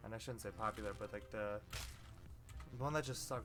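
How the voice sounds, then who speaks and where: Music plays in the background as a man speaks. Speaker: gaming youtuber. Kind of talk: let's play commentary. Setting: home recording at night. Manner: casual, halting with fillers.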